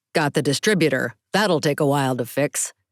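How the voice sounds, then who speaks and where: At a fairly quick pace, a man performs a put-on character voice on a very clean recording with a silent background. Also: fairly high pitch for a man. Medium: read story. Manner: cool, clipped.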